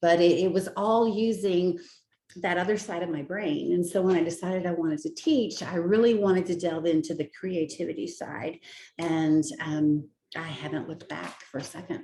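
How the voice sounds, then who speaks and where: A woman's fairly low voice with a dark, mellow tone. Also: ordinary pitch variation, moderate pace. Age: 60s. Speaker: teacher. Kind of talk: job interview.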